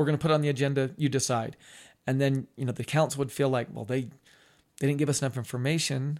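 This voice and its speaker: A man with an American accent, a fairly high pitch and a fairly quick pace, in a very clean recording with a silent background. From Ogden, Utah, US. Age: 50s. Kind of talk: interview. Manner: halting.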